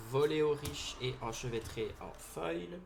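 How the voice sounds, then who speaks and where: A man with a strong Belgian accent and medium pitch talks at a very slow pace, with audible room echo around him. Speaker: card game YouTuber. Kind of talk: booster pack opening video. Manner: loud, excitable.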